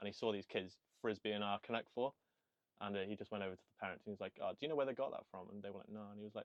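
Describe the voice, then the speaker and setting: Speaking at a very fast pace, a man with a Welsh accent has a fairly low pitch. His intonation is fairly even, while his loudness swings widely. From Wales. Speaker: podcast host. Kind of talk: casual chat.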